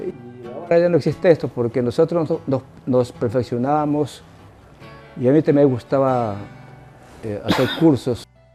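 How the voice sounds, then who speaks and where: Music plays in the background as a man speaks at medium pitch with ordinary pitch variation. His pace is moderate, with long, frequent pauses. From Ecuador, Manabí (Montecristi). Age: 80s+. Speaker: retired teacher. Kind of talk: interview answer.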